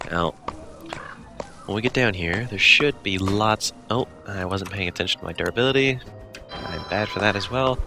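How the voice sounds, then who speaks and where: Over background music, the speaker keeps a moderate pace with ordinary pitch variation and long, frequent pauses. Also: man, fairly low pitch for a man. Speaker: gaming video creator. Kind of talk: casual gameplay commentary. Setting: home microphone, low quality.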